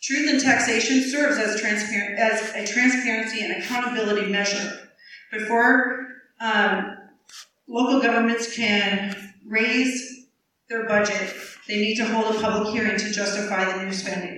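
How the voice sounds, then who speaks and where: With a Midwestern US accent, a woman speaks at a moderate pace in a fairly high pitch with fairly even intonation, and audible room echo surrounds her voice. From southeast Iowa. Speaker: political candidate. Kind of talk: candidate forum. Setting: public forum with audience.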